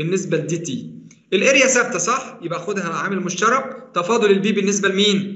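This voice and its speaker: A man with an Egyptian accent talks at a fairly quick pace with a high pitch, over noticeable background noise and audible room echo. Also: ordinary pitch variation. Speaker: university engineering lecturer. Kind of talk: online lecture. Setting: online class.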